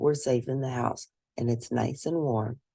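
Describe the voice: Fairly slow and fairly even in intonation, a put-on character voice carries a dark, mellow tone with vocal fry. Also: woman, extremely low pitch for a woman.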